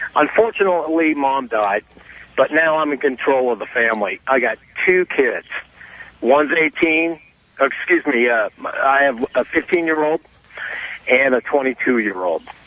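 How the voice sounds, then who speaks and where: A fairly high-pitched man with an American accent, fairly slow and lively in intonation, with long, frequent pauses and noticeable background noise. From US West. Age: 40s. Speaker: caller. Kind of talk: call-in radio chat. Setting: phone call. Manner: animated.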